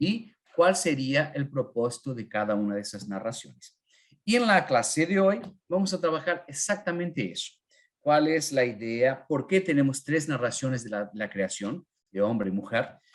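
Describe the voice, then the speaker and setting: Speaking at a moderate pace, a man with a fairly high voice makes very wide pitch swings. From northern Argentina (Corrientes). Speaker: Bible teacher. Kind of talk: online Bible class. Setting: live online class with chat. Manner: halting, many fillers.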